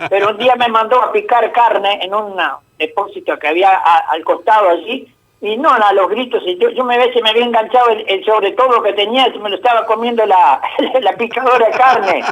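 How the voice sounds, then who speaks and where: A man talks fairly quickly in a high voice, his pitch varying in an ordinary way. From Uruguay, Nueva Helvecia. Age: 70s. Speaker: radio caller. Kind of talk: casual chat.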